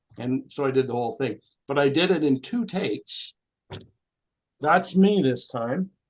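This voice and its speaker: A Canadian accent at a moderate pace, broken by long, frequent pauses. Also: man, fairly high pitch for a man. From Canada, eastern Ontario (Cornwall). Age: 60s. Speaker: actor and voice actor. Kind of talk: interview conversation. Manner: halting.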